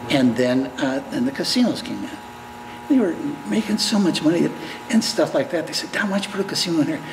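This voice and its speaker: Noticeable background noise accompanies a man whose pitch swings very widely. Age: 70s. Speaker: business owner. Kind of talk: news interview. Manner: halting, many false starts.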